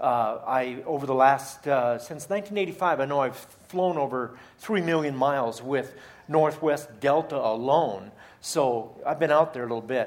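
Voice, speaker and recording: Audible room echo surrounds a man speaking at a fairly slow pace, fairly high in pitch, with ordinary pitch variation. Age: 50s. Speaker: charity leader and guest speaker. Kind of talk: sermon. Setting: church.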